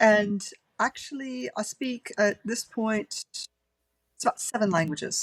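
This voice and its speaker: A woman speaks at a fairly slow pace, somewhat breathy, with long, frequent pauses. The sound is dry and close, with no echo. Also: ordinary pitch variation, big swings in loudness. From Germany (Frankfurt), grew up in Europe. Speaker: indie fantasy author. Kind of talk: interview. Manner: rolls R's.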